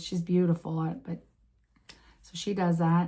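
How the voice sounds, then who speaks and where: In a fairly low pitch, a woman speaks with a dark, mellow, somewhat breathy tone and monotone, flat intonation. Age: 50s. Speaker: vlogger. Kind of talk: casual vlog talk. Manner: halting.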